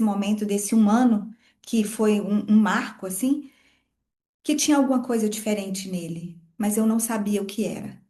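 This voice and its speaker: There is audible room echo around a woman's voice. Her tone is dark and mellow, with ordinary pitch variation. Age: 40s. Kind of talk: podcast interview testimony.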